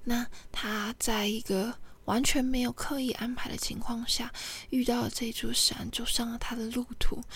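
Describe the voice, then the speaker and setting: Her voice is high and monotone, flat in intonation, as this woman talks at a fairly slow pace. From Taiwan, Kinmen. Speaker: podcaster. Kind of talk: solo storytelling monologue. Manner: halting, many fillers.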